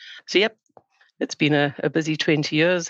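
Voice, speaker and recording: Speaking with a South African accent, a woman with a very deep, low pitch talks at a moderate pace in a monotone, flat intonation, the sound dry and close with no echo over a quiet background. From South Africa, Johannesburg. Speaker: sustainability consultant. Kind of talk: podcast interview.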